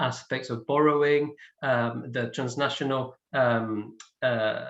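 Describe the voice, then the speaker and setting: With a Spanish accent, a man speaks at a medium pitch with fairly even intonation. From Spain. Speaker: film scholar, panellist. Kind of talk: panel discussion. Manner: hesitant, many fillers.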